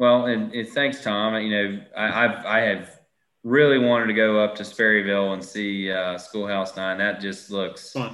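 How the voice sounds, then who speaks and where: With a Southern US accent, a man speaks at a moderate pace. His pitch is fairly low and his intonation fairly even. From Southern US small town. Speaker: golf author. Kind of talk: casual interview. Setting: video call.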